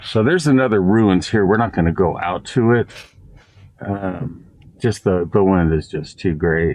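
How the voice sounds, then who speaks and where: Fairly low in pitch for a man, his voice moves at a moderate pace with ordinary pitch variation. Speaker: travel vlogger. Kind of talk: casual vlog narration. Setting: outdoors. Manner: loud.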